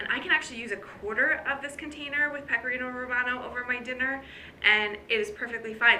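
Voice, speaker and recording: With audible room echo, a woman speaks at a fairly quick pace and ordinary pitch variation. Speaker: fitness coach. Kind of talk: casual vlog talk. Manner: fast.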